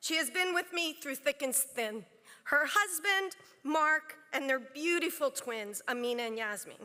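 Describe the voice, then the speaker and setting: A woman projects a raised voice with a bright, sharp tone. Her pitch swings very widely at a fairly slow pace. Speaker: bar association chancellor. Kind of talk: formal speech. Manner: loud.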